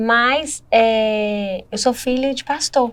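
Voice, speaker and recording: A woman has a plain, everyday voice at a fairly high pitch. Her pitch shows ordinary variation. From Minas Gerais, Brazil. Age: 30s. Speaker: church member sharing testimony. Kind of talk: podcast interview testimony.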